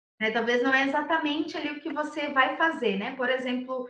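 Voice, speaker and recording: A bright, sharp tone carries at a moderate pace through audible room echo. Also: woman. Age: 20s. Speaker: recruiter. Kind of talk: lecture.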